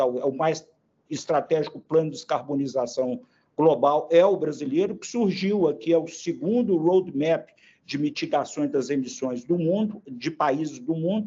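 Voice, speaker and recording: A man's fairly high voice with lively intonation. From Brazil, Belo Horizonte, Minas Gerais. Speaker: industry association president. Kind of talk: interview. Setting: podcast. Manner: halting, many fillers.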